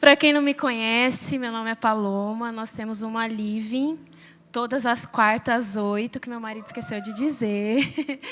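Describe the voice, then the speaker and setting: A woman with a fairly high pitch speaks at a fairly slow pace and ordinary pitch variation. Her loudness rises and falls in big swings. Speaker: preacher. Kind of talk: sermon.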